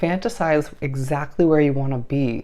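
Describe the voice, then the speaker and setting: Dark, mellow tone in a woman's very deep, low voice. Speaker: tarot reader. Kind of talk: tarot reading. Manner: stutters at times.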